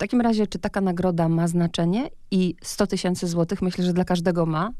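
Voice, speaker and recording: A woman with a fairly low pitch speaks in a dark, mellow tone with fairly even intonation. The recording is very clean, with a silent background. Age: 40s. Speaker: radio host. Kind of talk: interview. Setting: radio studio.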